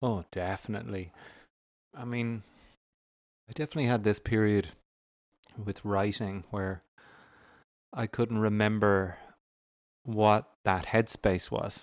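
In an Irish accent, a man with a fairly low voice speaks at a fairly slow pace with fairly even intonation and long, frequent pauses, on a very clean recording with a silent background. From Ireland. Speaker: stand-up comedian and podcaster. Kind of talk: casual chat.

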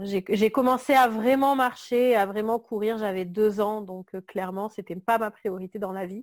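A woman at a fairly high pitch, with fairly even intonation, big swings in loudness and hardly any pauses, on a very clean recording with a silent background and a dry, close sound with no echo. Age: 30s. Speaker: graphic designer. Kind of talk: interview. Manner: hesitant, many fillers.

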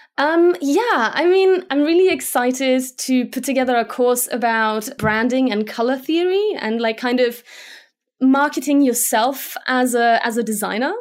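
A woman with a Slovak accent speaks at a high pitch with lively intonation and a moderate pace. The recording is very clean, with a silent background. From Germany. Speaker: motion graphics designer. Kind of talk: interview.

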